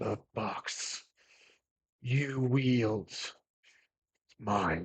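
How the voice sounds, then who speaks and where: A man puts on a character voice at a medium pitch. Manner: breathing in between every word, halting.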